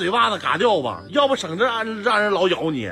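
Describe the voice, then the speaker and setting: With faint music in the background, a man projects a raised, high-pitched voice at a moderate pace. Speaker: dog owner. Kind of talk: casual scolding of pet on camera. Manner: exasperated, scolding. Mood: exasperated, fond scolding. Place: home room. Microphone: phone near.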